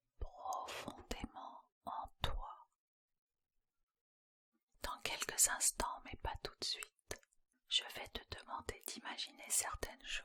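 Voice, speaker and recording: The speech is whispered very slowly, broken by long, frequent pauses. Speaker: hypnotherapist. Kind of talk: guided hypnosis session.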